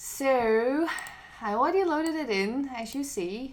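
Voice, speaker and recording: A woman's lively intonation in a Dutch accent. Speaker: music producer and designer. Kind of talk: tutorial. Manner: animated.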